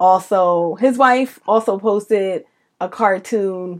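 On a very clean recording with a silent background, a woman with a New York accent speaks at a very slow pace and medium pitch. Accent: New York City. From New York City (Brooklyn). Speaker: podcast co-host. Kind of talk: casual chat.

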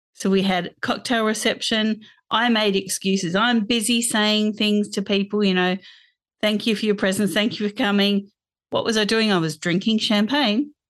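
A fairly high-pitched woman's voice in an Australian accent, fairly even in intonation and moderate in pace, against a quiet background. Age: 50s. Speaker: podcast guest sharing eating disorder experience. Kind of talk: personal testimony in interview.

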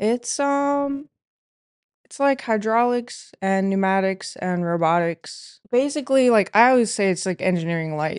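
In a plain, everyday voice, a woman speaks at a fairly slow pace with medium pitch, lively intonation and big swings in loudness against a quiet background. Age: 20s. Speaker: manufacturing technician. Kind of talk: casual interview.

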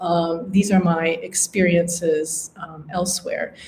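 Through noticeable background noise, a woman with an American accent speaks very slowly in a monotone, flat intonation. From US Upper Midwest. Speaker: linguistics professor. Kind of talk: interview conversation. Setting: university campus.

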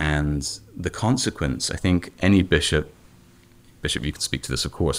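Vocal fry runs through this man's very deep, low voice. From United Kingdom, Celtic region. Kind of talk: radio interview.

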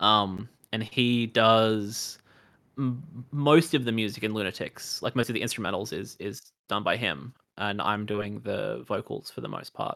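An Australian-accented man with a fairly low pitch, a bright, sharp tone, ordinary pitch variation and a fairly slow pace, in a very clean recording with a silent background. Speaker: musician. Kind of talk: interview, casual chat.

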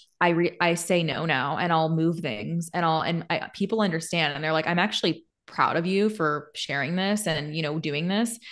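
Over a quiet background, a woman with an ordinary speaking voice talks at a moderate pace, her pitch fairly low with ordinary pitch variation. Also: hardly any pauses. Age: 20s. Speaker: podcaster and mental health speaker. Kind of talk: casual interview.

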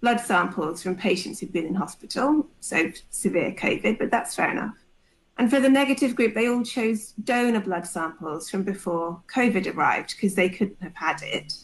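A somewhat breathy woman's voice with a British accent, medium in pitch, lively in intonation, at a moderate pace. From UK. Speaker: pathologist. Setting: video call.

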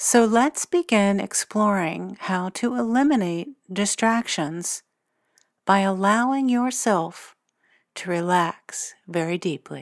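Very slowly, a woman speaks at a medium pitch with lively intonation and a soothing, calm tone. The sound is dry and close, with no echo. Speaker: psychic medium and meditation guide. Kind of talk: guided meditation. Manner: slow, soothing, calm and gentle, with long pauses; hushed, hypnotic, unhurried cadence.

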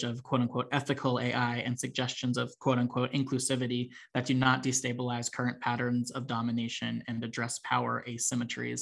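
Speech at a fairly quick pace, captured in a very clean recording against a silent background. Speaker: podcast co-host, PhD student. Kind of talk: interview.

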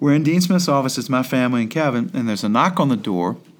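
Very wide pitch swings mark this man's very fast speech in an American accent. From Staunton, Virginia. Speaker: high school basketball coach. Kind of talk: interview. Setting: classroom.

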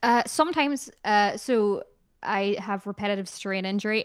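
The woman's voice is medium in pitch and keeps to a moderate pace. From Northern Ireland. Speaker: musician. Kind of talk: casual interview. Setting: video call, remote interview.

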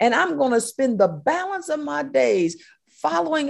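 With very wide pitch swings and an animated tone, a woman speaks at a moderate pace. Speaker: preacher. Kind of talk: sermon. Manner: animated, exhortative preacher cadence with rhetorical questions.

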